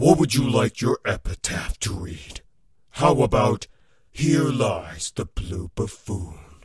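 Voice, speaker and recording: A man puts on a character voice with a menacing tone, medium in pitch and at a fairly slow pace. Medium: voice reel. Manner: menacing, taunting.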